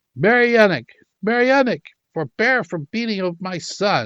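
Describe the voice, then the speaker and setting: In a put-on character voice, a man sounds shrill and high-pitched, moving at a moderate pace. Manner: excited, commanding, alarmed.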